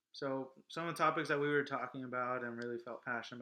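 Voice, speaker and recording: Loud and fast, a man speaks at a very fast pace with a fairly high pitch and a bright, sharp tone. He has an American accent. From Los Angeles. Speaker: vlog co-host. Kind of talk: casual chat.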